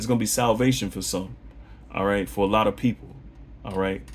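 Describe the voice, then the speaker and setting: A man speaks at a fairly quick pace with a fairly low pitch and some vocal fry. His pitch varies in an ordinary way, broken by long, frequent pauses. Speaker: religious teacher. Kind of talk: bible lesson monologue. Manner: fast; animated.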